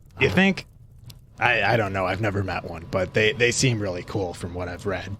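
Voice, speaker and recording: At a moderate pace, someone talks in a raspy, put-on character voice. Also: man, fairly low pitch for a man. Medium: actual play. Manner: casual, laid-back.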